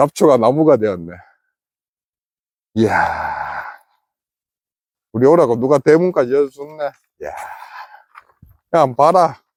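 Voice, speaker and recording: In a Gyeongsang accent, a man with a fairly high pitch speaks very slowly with lively intonation and long, frequent pauses, in a dry, close sound with no echo. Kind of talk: casual banter between friends.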